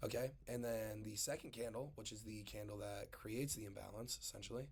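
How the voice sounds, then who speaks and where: Somewhat breathy, a man talks at a fairly quick pace and medium pitch. His intonation is fairly even. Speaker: trading streamer teaching a course. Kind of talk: tutorial. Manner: casual, halting with fillers and restarts.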